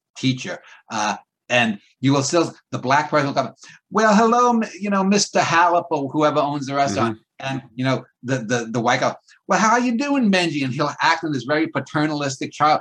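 Talking fairly quickly in a New York accent, a man with a fairly high pitch moves through very wide pitch swings. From Queens, New York City. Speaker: poet and writer. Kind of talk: casual chat.

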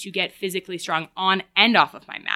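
A woman in an American accent talks at a fairly quick pace with a medium-pitched, bright, sharp voice that sounds dry and close with no echo. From Woodstock, New York, US. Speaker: yoga teacher. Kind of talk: interview conversation.

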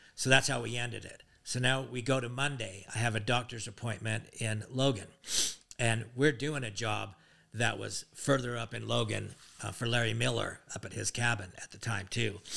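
A bright, sharp voice with vocal fry and an American accent, at a moderate pace with fairly even intonation. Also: man. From Utah. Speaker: father of the hosts. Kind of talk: casual chat.

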